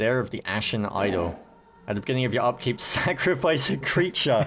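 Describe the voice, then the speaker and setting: A man with a British accent speaks at a moderate pace and a medium pitch. His pitch swings very widely, and music plays in the background. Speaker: gaming video host. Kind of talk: casual gameplay commentary chat.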